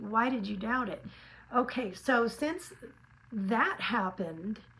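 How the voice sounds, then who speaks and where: A woman with an American accent, fairly high-pitched, at a fairly slow pace with lively intonation, over noticeable background noise. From California. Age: 60s. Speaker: lifestyle vlogger. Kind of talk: casual vlog monologue. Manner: animated.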